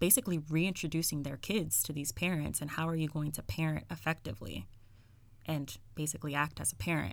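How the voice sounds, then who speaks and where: A woman's very deep, low voice with vocal fry, lively intonation and a fairly quick pace, on a very clean recording with a silent background. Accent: American. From New York City (the Bronx). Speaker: social worker. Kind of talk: casual interview. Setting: podcast recording.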